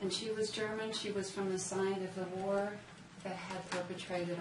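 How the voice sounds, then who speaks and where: Against noticeable background noise and audible room echo, a woman with an American accent talks at a medium pitch with fairly even intonation. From southern Minnesota, US Midwest. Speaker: author. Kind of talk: author talk at a bookstore. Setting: bookstore event with live audience.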